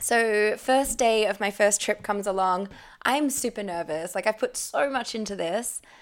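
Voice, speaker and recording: On a very clean recording with a silent background, a woman with an Australian accent speaks at a moderate pace and a fairly high pitch, with ordinary pitch variation. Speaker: former tour guide. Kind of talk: casual chat. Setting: kitchen.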